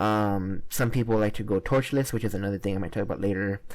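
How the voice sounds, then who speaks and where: In a very clean recording with a silent background, a man with a dark, mellow tone speaks at a fairly quick pace. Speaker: gaming YouTuber. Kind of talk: gameplay commentary. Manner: fast; halting, many fillers.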